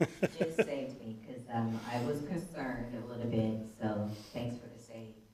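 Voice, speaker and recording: A woman speaks with a very deep, low pitch and an American accent, her loudness swinging widely. Noticeable background noise and audible room echo fill the recording. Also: ordinary pitch variation, moderate pace. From Pittsburgh, Pennsylvania. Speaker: conference speaker. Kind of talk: conference talk. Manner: varied pitch.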